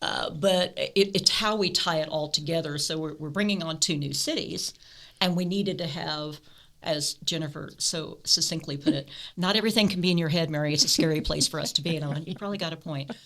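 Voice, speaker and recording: A woman with an American accent speaks fairly quickly in a fairly low voice, her intonation fairly even. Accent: Midwestern with slight Alabama creeping in. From US Midwest. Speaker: state program director. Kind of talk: casual podcast chat. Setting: podcast recording.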